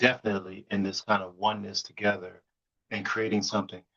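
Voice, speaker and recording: With an American accent, the voice has a bright, sharp tone and a dry, close sound with no echo. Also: man. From US, New York City. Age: 60s. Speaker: BDSM educator and musician. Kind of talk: podcast interview. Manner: halting, repeats words.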